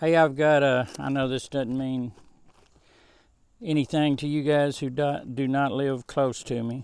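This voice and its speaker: In a Southern US accent, a man speaks fairly slowly with long, frequent pauses. His fairly high voice stays flat and monotone. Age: 70s. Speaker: home gardener and musician. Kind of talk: casual vlog tutorial. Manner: casual, rambling with fillers.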